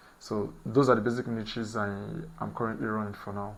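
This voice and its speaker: A man keeps a moderate pace while audible room echo fills the space around him. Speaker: SEO beginner, channel host. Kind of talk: screen-share tutorial vlog. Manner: halting, with fillers and repeats.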